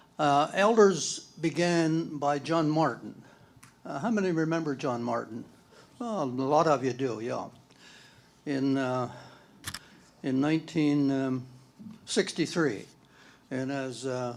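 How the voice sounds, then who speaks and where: A man speaks at a very slow pace, leaving long, frequent pauses. His pitch varies in an ordinary way, and the room echo is audible. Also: fairly high pitch for a man. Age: 80s+. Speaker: former church elder. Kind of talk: reminiscence talk at church panel.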